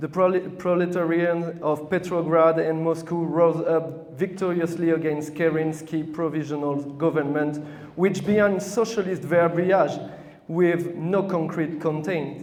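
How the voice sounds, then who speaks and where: Amid noticeable background noise and audible room echo, a man with a French accent and a high pitch speaks at a fairly slow pace in a monotone, flat intonation. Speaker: communist party representative. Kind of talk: speech to an audience. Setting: hall with audience, microphone. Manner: halting, with false starts.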